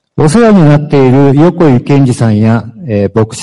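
A man with a Japanese accent speaks at a moderate pace in a dark, mellow tone with a fairly high pitch. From Japan, Fukuoka. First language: Japanese (speaking Spanish). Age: 50s. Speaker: former prisoner. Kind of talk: testimony.

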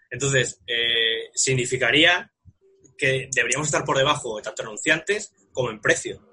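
A man's medium-pitched voice in a bright, sharp tone, with ordinary pitch variation. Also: moderate pace. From Spain, Móstoles (Madrid). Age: 30s. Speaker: radio sports producer. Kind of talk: casual chat.

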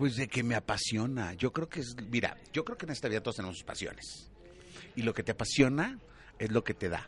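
Speaking fairly quickly with a Mexican accent, a man uses a medium pitch, ordinary pitch variation, a somewhat breathy voice and an animated tone. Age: 40s. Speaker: TV entertainment presenter. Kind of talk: casual interview.

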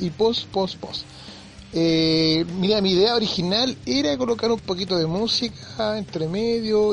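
Against noticeable background noise, a man with a Chilean accent speaks at a high pitch with ordinary pitch variation. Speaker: podcast host. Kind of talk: casual monologue.

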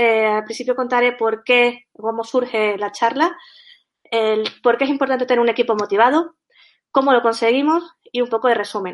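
A woman talks at a moderate pace in a high pitch with fairly even intonation. The background is quiet. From Canary Islands. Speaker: software tech lead. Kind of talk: conference talk.

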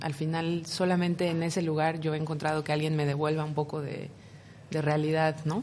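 A woman with a Mexican accent and a very deep, low pitch, speaking flat and monotone at a moderate pace. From Mexico City. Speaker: visual artist and writer. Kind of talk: radio interview.

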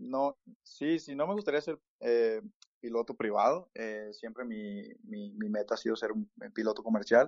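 At a fairly slow pace, a man speaks with a medium pitch and ordinary pitch variation. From Mexico. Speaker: immigrant interviewee. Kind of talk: casual interview. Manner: halting, many fillers.

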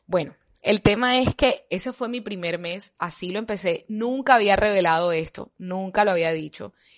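A woman with a plain, everyday voice speaks at a medium pitch and moderate pace with ordinary pitch variation against a quiet background. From Colombia. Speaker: health podcaster. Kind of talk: casual monologue.

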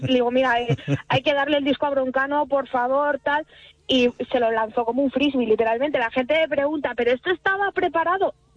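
A woman with a high pitch speaks at very even loudness, the sound dry and close with no echo, with noticeable background noise behind her. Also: ordinary pitch variation, fairly quick pace. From Salamanca, Spain. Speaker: singer. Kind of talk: radio interview.

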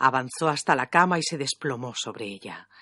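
Against a quiet backdrop, the words come at a moderate tempo. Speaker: audiobook narrator. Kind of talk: reading aloud; interview.

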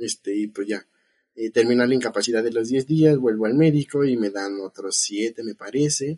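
Dry and close with no echo, a man's dark, mellow voice sits at a medium pitch, moving at a moderate pace with ordinary pitch variation. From Mexico City. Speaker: biotechnologist. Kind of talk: casual chat.

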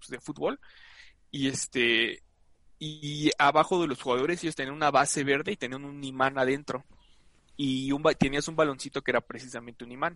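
A man's fairly high, bright, sharp voice at a fairly quick pace, dry and close with no echo, over a quiet background. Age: 20s. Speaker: sports comedy podcast co-host. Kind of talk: casual comedic chat.

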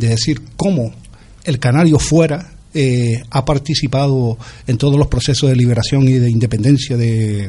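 This man speaks at a moderate pace in a somewhat breathy, medium-pitched voice. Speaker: writer, singer-songwriter and political activist. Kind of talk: interview.

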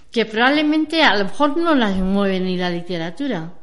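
Against noticeable background noise, a woman talks at medium pitch and a moderate pace. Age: 60s. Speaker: older woman living alone. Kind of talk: testimony.

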